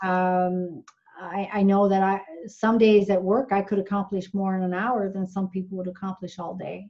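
A woman with a Newfoundland accent and a medium pitch speaks at a moderate pace with monotone, flat intonation. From Newfoundland, Canada (small fishing village). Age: 50s. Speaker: nurse. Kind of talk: casual interview. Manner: halting, many fillers.

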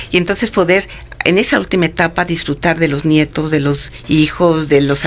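A woman talks at a moderate pace with a very deep, low pitch and ordinary pitch variation. Noticeable background noise runs underneath. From Mexico City. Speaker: psychologist. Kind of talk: interview.

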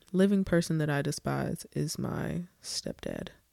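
A woman speaks here. The sound is dry and close, with no echo. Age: 20s. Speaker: podcast host. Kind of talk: casual solo chat. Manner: animated.

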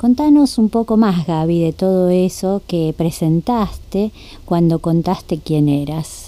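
With a Rioplatense accent, the speaker talks at a very slow pace with lively intonation. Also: woman, fairly low pitch for a woman. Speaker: radio host. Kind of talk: interview. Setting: studio.

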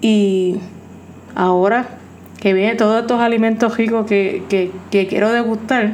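At a medium pitch and a fairly slow pace, a woman speaks in a monotone, flat intonation, with audible room echo and noticeable background noise. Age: 40s. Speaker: podcast host in addiction recovery. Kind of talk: personal monologue.

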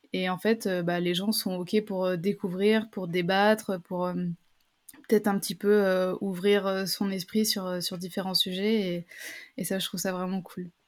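On a very clean recording with a silent background, a woman speaks at a medium pitch in a monotone, flat delivery. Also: fairly slow pace. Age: 20s. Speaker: travel reporter and content creator. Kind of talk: interview testimony. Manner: halting, many fillers and repetitions.

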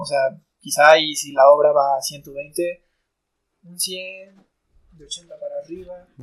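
A man speaks at a very slow pace. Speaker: percussionist. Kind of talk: casual chat.

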